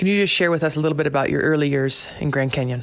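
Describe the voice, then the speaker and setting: A woman speaks in a very deep, low voice at a very fast pace. Noticeable background noise runs beneath her. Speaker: podcast host. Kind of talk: interview. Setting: kitchen at home.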